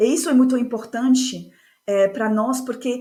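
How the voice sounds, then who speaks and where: At a fairly slow pace, a woman talks with a fairly high pitch and fairly even intonation. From France. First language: French (speaking Portuguese). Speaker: course facilitator and speaker. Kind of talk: podcast interview.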